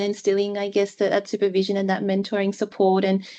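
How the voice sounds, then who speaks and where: Speaking at a medium pitch, a woman talks with an Australian accent. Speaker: clinician, guest speaker. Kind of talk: webinar presentation.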